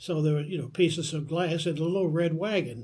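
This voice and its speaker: A man with a high pitch speaks with an American accent. His intonation is fairly even, and the room echo is audible. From northeastern Kentucky (Vanceburg, Maysville). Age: 80s+. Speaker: oral history interviewee. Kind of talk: oral history interview. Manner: halting, with frequent fillers.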